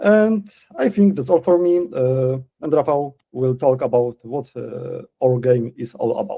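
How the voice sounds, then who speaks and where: A man speaks with a Polish accent at a fairly slow pace. His pitch sits fairly high and his intonation is lively. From Poland. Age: 20s. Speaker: community manager. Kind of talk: livestream presentation. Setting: livestream. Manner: hesitant, many fillers.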